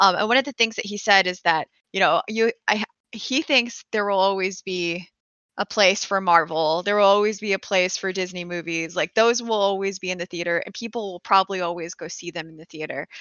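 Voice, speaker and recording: A woman speaks in a normal speaking voice at medium pitch. Her pitch variation is ordinary, but her loudness swings widely. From US desert region. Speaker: movie buff guest. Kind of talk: casual chat.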